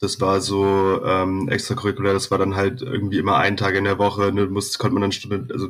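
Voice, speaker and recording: A man's fairly low voice at a fairly quick pace, in a monotone, flat intonation. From Berlin (Zehlendorf, West Berlin). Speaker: metal bassist. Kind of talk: casual chat.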